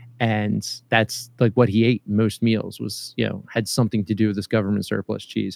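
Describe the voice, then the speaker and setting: Speaking with hardly any pauses in a Philadelphia accent, a man with a fairly low voice and vocal fry keeps a monotone, flat intonation, with a dry, close sound with no echo. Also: moderate pace. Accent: Philadelphia-area American. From US, Philadelphia area (Lansdale, Pennsylvania). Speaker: podcaster and father. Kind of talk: casual interview. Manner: halting, many fillers and repetitions.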